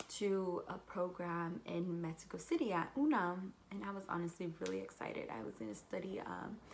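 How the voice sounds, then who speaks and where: A woman with a Californian accent talks at a moderate pace. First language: Spanish. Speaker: university student. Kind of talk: casual talk to camera.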